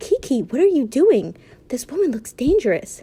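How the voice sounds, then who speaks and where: In a put-on character voice, a female-sounding speaker talks at a moderate pace, pitched high and swinging very widely up and down. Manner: hushed, wary.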